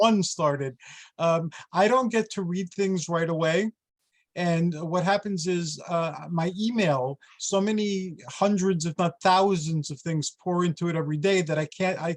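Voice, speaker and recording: Recorded with a dry, close sound and no echo, a man speaks in a high pitch with ordinary pitch variation. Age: 60s. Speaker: podcast host. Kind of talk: casual chat.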